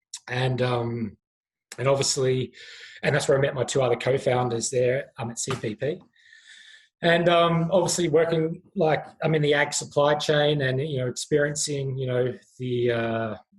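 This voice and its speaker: A man with an Australian accent talks at a moderate pace. His voice is fairly high and somewhat breathy. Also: ordinary pitch variation. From Australia, rural Victoria. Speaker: startup founder and CEO. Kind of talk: podcast interview. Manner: hesitant, many fillers.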